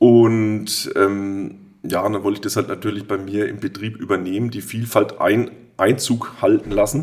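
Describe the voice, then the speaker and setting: The man has an ordinary speaking voice with a fairly low pitch. He keeps a moderate pace and fairly even intonation. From Würzburg, Lower Franconia (Germany). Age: 40s. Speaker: brewery owner, master brewer. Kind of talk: casual interview.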